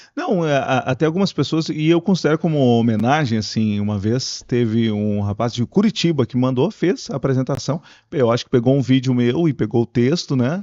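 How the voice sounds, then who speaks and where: A man talks with hardly any pauses at a medium pitch. It is a plain, everyday voice. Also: lively intonation, moderate pace. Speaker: radio broadcaster and pastor. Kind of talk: podcast interview answer. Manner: casual, conversational.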